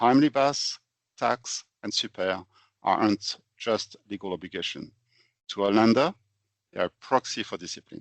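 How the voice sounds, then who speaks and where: Long, frequent pauses break up the speech of a man with a French accent, whose fairly low pitch shows ordinary variation. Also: moderate pace. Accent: French, noticeable. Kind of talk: podcast presentation. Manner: structured, explanatory.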